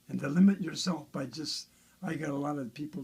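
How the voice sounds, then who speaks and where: A somewhat breathy male voice. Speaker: bass guitar builder. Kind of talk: casual chat. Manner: fast.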